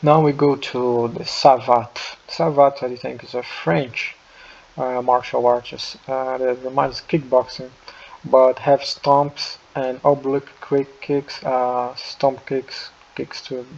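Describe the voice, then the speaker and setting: Through noticeable background noise, a man with a non-native accent speaks at a very slow pace and a medium pitch, his intonation fairly even. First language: not English. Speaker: martial artist, video creator. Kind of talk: casual tier-list commentary. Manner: halting, many fillers and restarts.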